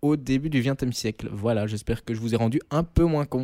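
A man in a normal speaking voice, medium in pitch, with ordinary pitch variation and a moderate pace, on a very clean recording with a silent background. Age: 20s. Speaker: student radio co-host, sports columnist. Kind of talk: scripted narration; casual chat.

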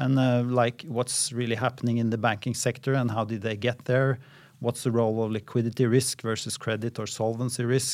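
In a very clean recording with a silent background, a man with a Norwegian accent speaks at a fairly quick pace in a medium-pitched, monotone, flat voice. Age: 50s. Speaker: central bank economist. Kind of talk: interview. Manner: halting.

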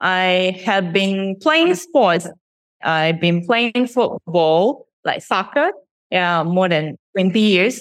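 At a very slow pace, a woman with a Japanese accent speaks at very even loudness with ordinary pitch variation. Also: medium pitch for a woman. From Shizuoka, Japan. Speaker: startup CEO. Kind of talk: interview.

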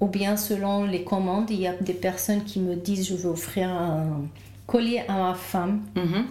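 A woman's fairly even intonation at a fairly slow pace, with audible room echo. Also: medium pitch for a woman. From Lebanon. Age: 40s. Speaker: naturopath. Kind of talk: interview. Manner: calm; halting.

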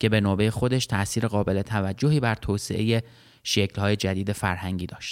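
An unremarkable speaking voice moves at a moderate pace, with a dry, close sound with no echo and a very clean recording against a silent background. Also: man. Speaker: history podcast host and narrator. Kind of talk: scripted narration.

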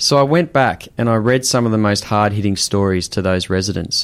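Speaking in an Australian accent, a man talks at a fairly quick pace. His pitch is fairly low with ordinary variation. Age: 30s. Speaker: photographer and director. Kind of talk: casual chat.

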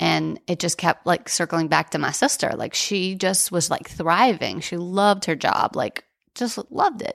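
Speaking at a moderate pace with an American accent, a woman uses a fairly low pitch, lively intonation, and vocal fry. The sound is dry and close with no echo, on a very clean recording with a silent background. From New Orleans, US. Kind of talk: casual interview.

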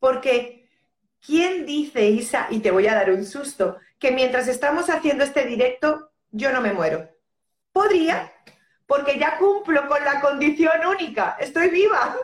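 A woman's high-pitched voice at a fairly slow pace, very even in loudness, with lively intonation. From Spain. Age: 50s. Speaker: end-of-life companion and death educator. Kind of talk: casual chat. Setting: Instagram live video call.

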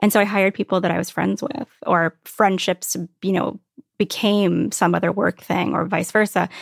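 In a dry, close sound with no echo, a woman with an American accent speaks at a medium pitch and moderate pace, with vocal fry and ordinary pitch variation. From Virginia Beach, US. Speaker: design blogger and media entrepreneur. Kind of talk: interview conversation.

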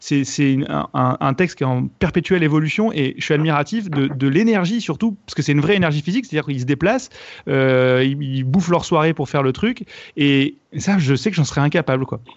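Fairly quick and lively in intonation, a man speaks at a fairly high pitch. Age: 30s. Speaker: comedian and online video creator. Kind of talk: casual chat.

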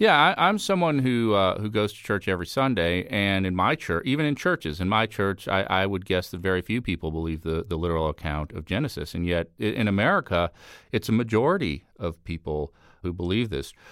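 Here is a normal speaking voice going at a fairly quick pace. Its intonation is lively, over a silent background in a very clean recording. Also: man, fairly low pitch for a man. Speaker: election analyst. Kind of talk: interview.

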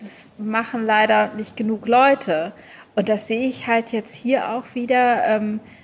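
At a very slow pace, a woman speaks in a fairly high pitch with fairly even intonation. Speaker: travel blogger and author. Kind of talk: casual interview chat. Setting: video call.

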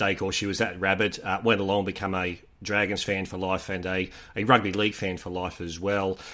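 In an Australian accent, a man with a very deep, low pitch and a bright, sharp tone talks at a fairly quick pace with monotone, flat intonation on a very clean recording with a silent background. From Sydney, Australia. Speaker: rugby league correspondent. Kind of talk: casual chat.

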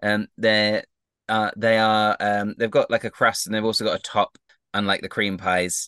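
In a quiet background with a dry, close sound with no echo, a man speaks in a bright, sharp tone at a fairly low pitch with monotone, flat intonation. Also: moderate pace. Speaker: game master and podcast host. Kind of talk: casual chat, live RPG show.

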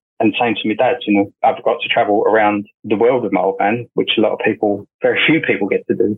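Barely pausing at all, the man rattles along at a very fast pace. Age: 40s. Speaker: music tour manager. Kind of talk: casual interview chat.

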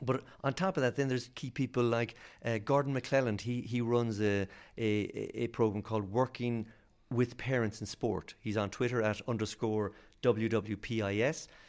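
With an Irish accent, a man speaks at a moderate pace in a medium pitch. His intonation is fairly even, and the recording is very clean with a silent background. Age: 40s. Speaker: sports scientist and lecturer. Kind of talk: interview.

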